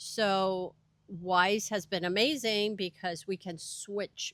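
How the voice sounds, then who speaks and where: In a very clean recording with a silent background, a woman speaks at a medium pitch in a Spanish accent with fairly even intonation. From Venezuela (Caracas). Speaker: education coordinator and language teacher. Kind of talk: interview.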